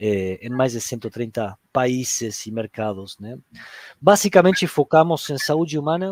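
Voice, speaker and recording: The delivery has lively intonation and a fairly slow pace, in a dry, close sound with no echo on a very clean recording with a silent background. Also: man. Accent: Argentine. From Argentina. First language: Spanish (speaking Portuguese). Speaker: HR director. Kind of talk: panel discussion. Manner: halting, many fillers.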